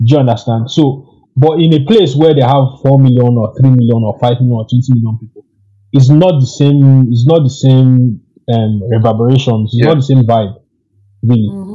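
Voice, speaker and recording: A man's somewhat breathy, dark and mellow voice at a medium pitch and moderate pace, with ordinary pitch variation. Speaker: guest data analyst. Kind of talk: casual interview chat.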